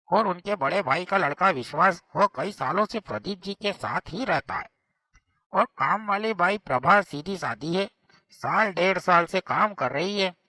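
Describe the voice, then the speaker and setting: A man performs a cartoonish character voice. His pitch is high. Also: moderate pace, ordinary pitch variation. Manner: respectful, deferential.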